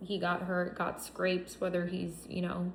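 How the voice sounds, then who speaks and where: Audible room echo and noticeable background noise surround a woman speaking at a medium pitch. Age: 30s. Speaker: psychic reader. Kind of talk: tarot reading monologue.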